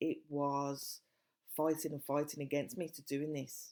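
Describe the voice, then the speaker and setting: A woman with a Birmingham accent speaks at a fairly slow pace in a very deep, low pitch with a dark, mellow tone. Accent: Brummie. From Birmingham, English Midlands. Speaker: life coach and podcast host. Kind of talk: self-help podcast monologue.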